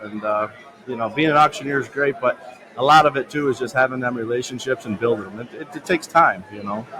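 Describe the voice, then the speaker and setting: Over noticeable background noise, a man speaks very fast at a medium pitch with ordinary pitch variation and big swings in loudness. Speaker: independent auction owner and auctioneer. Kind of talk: casual conversational podcast talk.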